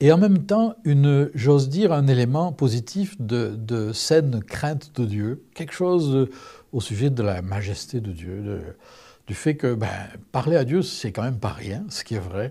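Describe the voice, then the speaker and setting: A man's dark, mellow, somewhat breathy voice with very wide pitch swings, fairly slow, on a very clean recording with a silent background. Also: medium pitch for a man. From southern France. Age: 60s. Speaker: testimony speaker. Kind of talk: testimony.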